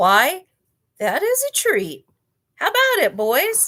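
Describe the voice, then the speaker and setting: A woman's squeaky, put-on character voice at an extremely high pitch and a fairly slow pace. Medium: read story. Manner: smooth, relishing.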